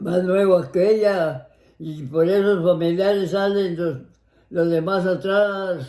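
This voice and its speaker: A man's dark, mellow, high-pitched voice at a very slow pace, with fairly even intonation. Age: 80s+. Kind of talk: casual family conversation.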